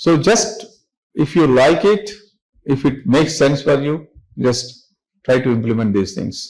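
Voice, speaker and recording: In an Indian accent, a somewhat breathy man with a fairly high pitch and very wide pitch swings speaks at a fairly slow pace with long, frequent pauses, amid audible room echo. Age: 60s. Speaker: business founder and chairman. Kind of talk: motivational talk to students. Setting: classroom with students.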